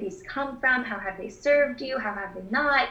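Audible room echo behind a moderate pace and ordinary pitch variation. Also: woman. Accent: American. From Texas (Houston). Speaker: dietitian. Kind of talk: interview answers.

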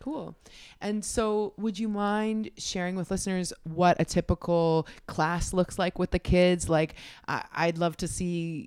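This is an ordinary speaking voice. Its intonation stays fairly even. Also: woman, medium pitch for a woman, dry, close sound with no echo. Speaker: podcast host. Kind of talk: casual interview chat.

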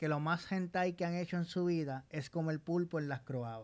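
On a very clean recording with a silent background, a man speaks in a high voice. He talks at a fairly slow pace with ordinary pitch variation. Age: 20s. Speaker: podcast co-host. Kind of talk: casual chat. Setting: studio.

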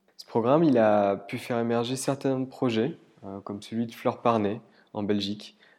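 Speaking at a moderate pace, a man with a medium-pitched, dark and mellow voice keeps his intonation fairly even. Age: 30s. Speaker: human resources professional. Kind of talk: scripted narration. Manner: hesitant fillers.

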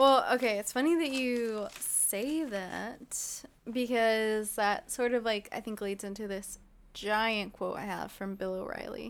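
This is a plain, everyday voice. It moves at a fairly slow pace with ordinary pitch variation. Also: woman, fairly high pitch for a woman. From Ontario, California (Inland Empire). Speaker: podcast co-host. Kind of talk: casual chat.

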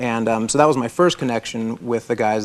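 Speaking at a fairly quick pace, a man with an American accent uses a medium pitch. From Florida. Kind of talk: interview testimony. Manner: halting.

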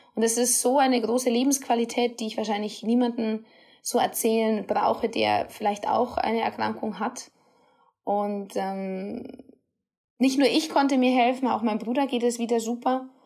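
Her tone dark and mellow, a woman speaks at a fairly high pitch with fairly even intonation and a moderate pace. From Bavaria, Rosenheim. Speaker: dietitian and nutrition therapist podcaster. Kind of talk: solo podcast monologue.

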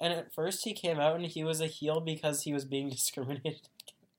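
At a very fast pace, a man talks with a fairly high pitch and fairly even intonation. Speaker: wrestling podcast co-host. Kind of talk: casual chat.

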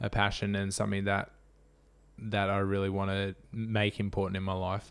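In an Australian accent, a fairly low-pitched man speaks at a moderate pace on a very clean recording with a silent background. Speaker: ultra runner. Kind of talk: casual interview chat.

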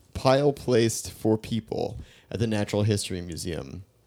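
A man's ordinary speaking voice at a medium pitch with an American accent and ordinary pitch variation, in a very clean recording with a silent background. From New York. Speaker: podcast co-host. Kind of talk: casual chat.

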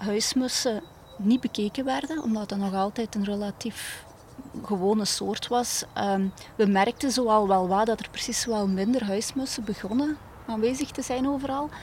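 Speaking in a Limburg accent, a woman has a fairly high pitch. She goes at a fairly slow pace with ordinary pitch variation. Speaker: bird conservation educator. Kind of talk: interview. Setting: outdoors in a garden.

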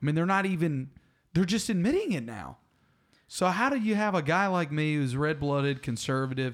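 On a very clean recording with a silent background, a man with a Southern US accent speaks at a fairly quick pace in a fairly high pitch, animated in tone and with lively intonation. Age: 30s. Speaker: arborist and podcast co-host. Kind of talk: casual chat. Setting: studio.

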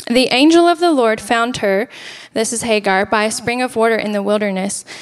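A woman talks at a moderate pace with a fairly high pitch and ordinary pitch variation. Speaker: church worship leader and guest speaker. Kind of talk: sermon. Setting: church, handheld microphone. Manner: soft-spoken.

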